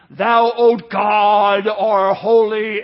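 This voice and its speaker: A put-on character voice delivered in a flat, monotone way. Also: man, high pitch for a man. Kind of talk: archaic old English prayer style. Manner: solemn, pious.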